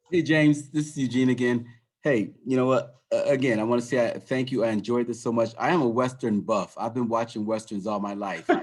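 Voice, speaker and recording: Man with a plain, everyday voice, at a fairly quick pace with hardly any pauses. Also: medium pitch for a man, ordinary pitch variation. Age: 60s. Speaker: audience member, former teacher. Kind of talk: audience comment. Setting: video call.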